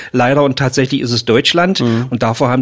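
A man talks at a very fast pace and a medium pitch. Noticeable background noise is present. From Magdeburg, eastern Germany. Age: 50s. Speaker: forester. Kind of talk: casual interview.

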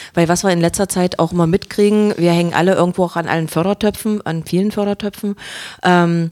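A woman speaks at a moderate pace in a fairly low pitch, with a dark, mellow tone and fairly even intonation, recorded very cleanly against a silent background with a dry, close sound and no echo. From Saxony-Anhalt and Berlin, Germany. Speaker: head of a cultural centre. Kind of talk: casual chat.

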